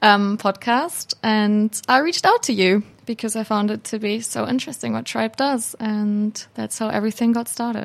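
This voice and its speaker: Her intonation stays fairly even as this woman, fairly high in pitch, talks at a moderate pace. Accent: German. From Hamburg, Germany. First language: German. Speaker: student intern. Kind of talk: interview. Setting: studio.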